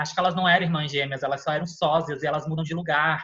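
Speaking very fast, a man keeps his intonation monotone and flat. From Florianópolis, southern Brazil. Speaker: film and TV recommendation influencer. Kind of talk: casual chat.

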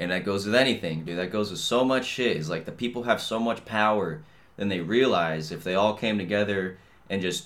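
In a very clean recording with a silent background, a man with an ordinary speaking voice talks at a fairly quick pace, his fairly low pitch showing ordinary pitch variation. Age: 20s. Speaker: podcast host. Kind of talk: casual monologue. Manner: casual, rambling with fillers.

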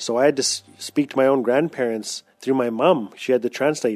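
A man with a northern Canadian accent speaks at a moderate pace in a medium pitch, his intonation fairly even, on a very clean recording with a silent background and a dry, close sound free of echo. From Fort Smith, Northwest Territories, Canada. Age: 40s. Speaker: writer and storyteller. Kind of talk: personal storytelling.

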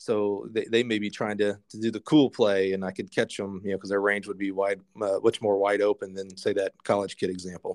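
A man talks with hardly any pauses in an unremarkable speaking voice over a quiet background. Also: fairly low pitch for a man. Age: 40s. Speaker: retired professional poker player, sales professional. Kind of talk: casual interview chat.

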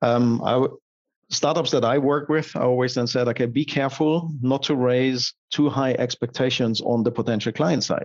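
A man with a German accent speaks at a moderate pace in a medium pitch, with fairly even intonation and very even loudness. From Germany. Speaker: digital strategy consultant. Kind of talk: interview.

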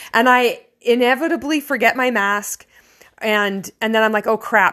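A woman with a Canadian accent and a fairly high pitch, in a very clean recording with a silent background. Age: 40s. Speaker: vlogger. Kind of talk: personal monologue. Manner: halting.

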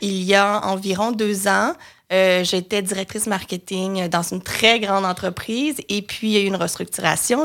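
A woman with a medium pitch speaks at a fairly slow pace. The recording is very clean, with a silent background. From Quebec, Lanaudière (Joliette). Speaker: marketing and communications entrepreneur. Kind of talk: interview. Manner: hesitant, many fillers.

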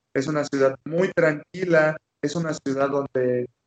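At a fairly slow pace, a man talks in a fairly high pitch with monotone, flat intonation. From Mexican Caribbean (Quintana Roo). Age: 20s. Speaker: Olympic taekwondo athlete. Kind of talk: interview. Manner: repetitive, halting restarts.

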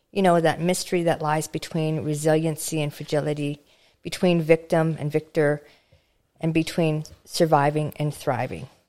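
In a very clean recording with a silent background, a woman speaks with a Canadian Prairies accent and a very deep, low pitch. Her tone is dark and mellow, her intonation monotone and flat, her pace moderate. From rural Alberta, Canada. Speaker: podcast host. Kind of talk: casual interview; scripted intro.

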